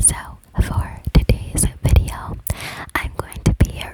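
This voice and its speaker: Noticeable background noise can be heard. Over it, someone is whispering. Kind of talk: casual talk to camera.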